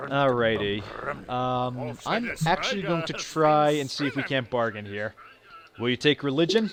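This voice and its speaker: Noticeable background noise sits behind a man's medium-pitched voice. He moves at a moderate pace with lively intonation. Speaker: video game let's play narrator. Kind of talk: gameplay commentary. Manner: halting, many fillers and restarts.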